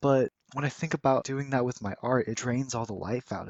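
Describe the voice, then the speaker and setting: Fairly quick delivery in a plain, everyday voice from a man, pitched in the medium range. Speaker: art student. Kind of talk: casual voiceover talk over speedpaint.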